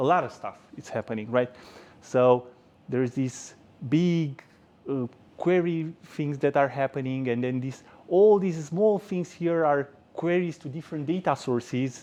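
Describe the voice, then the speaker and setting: A man's fairly high, dark, mellow voice with a Romanian accent. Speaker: software engineer giving a tech talk. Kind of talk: conference talk. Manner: hesitant with frequent repetitions.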